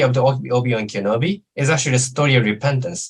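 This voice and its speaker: In a Japanese accent, a man talks very fast in a somewhat breathy, medium-pitched voice with ordinary pitch variation. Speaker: lecturer on Islamic studies. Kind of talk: lecture Q&A answer. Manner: halting, many fillers.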